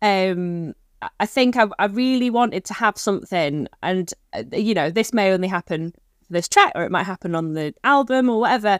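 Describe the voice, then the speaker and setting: With a northwest English accent, a woman speaks at a moderate pace and medium pitch, recorded dry and close with no echo on a very clean track with a silent background. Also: lively intonation. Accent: north-west English (Manchester area). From Stockport, north-west England. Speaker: folk musician, accordionist. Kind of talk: casual interview chat. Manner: hesitant, many fillers (um, like).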